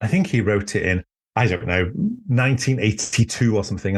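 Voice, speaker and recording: A fairly low-pitched, somewhat breathy man in a Welsh accent, with ordinary pitch variation, against a quiet background. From Wales. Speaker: author and druid teacher. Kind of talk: casual chat. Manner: halting.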